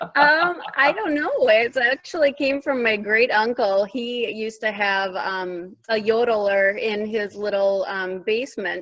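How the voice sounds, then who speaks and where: A woman with a Minnesotan accent speaks at a fairly slow pace and fairly high pitch, her intonation lively, amid noticeable background noise. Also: hardly any pauses. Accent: Minnesota. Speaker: teacher assistant. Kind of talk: casual interview.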